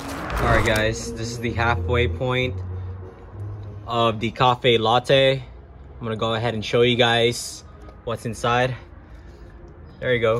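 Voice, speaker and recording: Music plays in the background while a man speaks at a very slow pace. His intonation is monotone and flat, with long, frequent pauses. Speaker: vlogger reviewing a cafe. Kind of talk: casual vlog chat. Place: street. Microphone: phone near.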